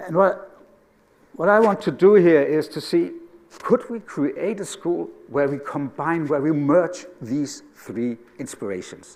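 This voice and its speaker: Lively intonation in a Danish accent. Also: man, high pitch for a man, fairly slow pace. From Denmark. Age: 60s. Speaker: educator. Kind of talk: conference talk.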